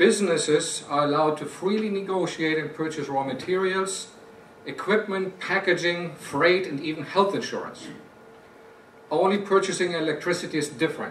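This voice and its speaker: A high-pitched man with a German accent at a moderate pace, fairly even in intonation, amid noticeable background noise and audible room echo. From Germany. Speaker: company executive. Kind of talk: prepared speech.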